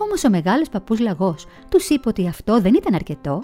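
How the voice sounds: What we hear is a natural reading voice.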